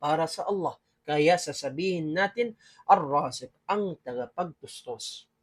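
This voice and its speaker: This man's voice sits high in pitch for a man. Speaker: Islamic studies instructor. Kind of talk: religious lecture.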